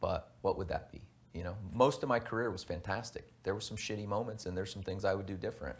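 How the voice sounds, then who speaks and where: On a very clean recording with a silent background, a man speaks at a very fast pace, somewhat breathy and fairly low-pitched, with ordinary pitch variation. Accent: American. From Texas, Houston. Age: 30s. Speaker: navy veteran and former drill instructor. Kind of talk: interview. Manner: halting.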